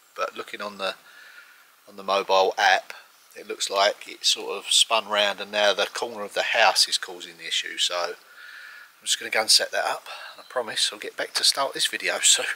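With big swings in loudness, a man talks at a fairly quick pace in a dry recording with no echo. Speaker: home renovator vlogger. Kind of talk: casual vlog chat. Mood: light-hearted, laughs. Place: garden.

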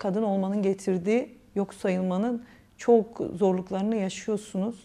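Speaking at a moderate pace, a woman has a medium pitch, a dark, mellow tone and fairly even intonation. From Sivas, Turkey; Turkey. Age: 40s. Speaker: political candidate; candidate. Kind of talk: interview. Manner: halting. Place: office. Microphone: lapel.

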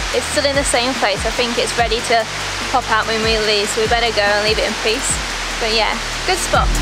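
Music runs underneath the recording. Over it, a woman speaks at a fairly quick pace. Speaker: travel vlogger. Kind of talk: casual vlog chat. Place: waterside.

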